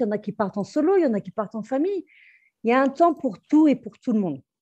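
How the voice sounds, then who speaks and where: Her dark, mellow voice somewhat breathy, a woman talks very fast with lively intonation. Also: quiet background. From Brittany, France. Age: 40s. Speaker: restaurant entrepreneur and expat. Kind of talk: interview. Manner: halting, many fillers.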